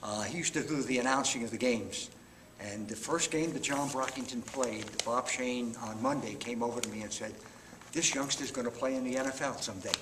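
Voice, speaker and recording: A medium-pitched man with a New York accent, fairly quick and fairly even in intonation, amid audible room echo and noticeable background noise. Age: 70s. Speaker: retired high school football coach. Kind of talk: interview.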